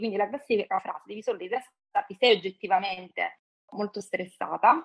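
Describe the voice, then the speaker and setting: Fairly quickly, a woman with an ordinary speaking voice talks at a medium pitch. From Calabria, southern Italy. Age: 40s. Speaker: guest sharing personal story. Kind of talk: interview testimony.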